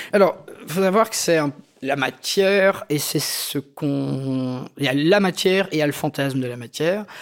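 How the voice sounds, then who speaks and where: In a normal speaking voice, a man talks at a fairly slow pace with fairly high pitch and lively intonation, recorded very cleanly against a silent background. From Belgium, Algerian immigrant family. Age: 40s. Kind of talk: personal testimony. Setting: living room recording.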